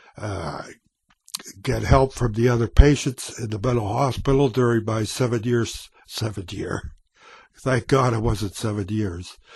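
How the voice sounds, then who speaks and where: A man with a medium-pitched, somewhat breathy voice talks at a fairly slow pace, his pitch moving in an ordinary way. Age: 70s. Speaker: vlogger. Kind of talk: personal testimony. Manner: halting.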